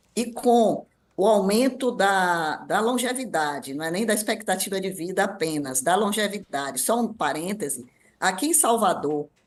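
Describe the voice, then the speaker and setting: Medium-pitched female speech at a moderate pace, with very wide pitch swings. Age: 60s. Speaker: ageing specialist. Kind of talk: radio interview.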